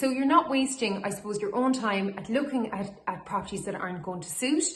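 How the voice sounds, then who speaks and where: Noticeable background noise accompanies a woman whose intonation is lively. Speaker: auctioneer / estate agent. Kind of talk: corporate social media advice video to camera. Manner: friendly, professional.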